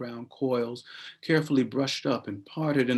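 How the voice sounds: Simply a natural reading voice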